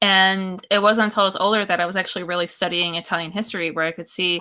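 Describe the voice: At a moderate pace, a woman speaks at a medium pitch with a bright, sharp tone and fairly even intonation.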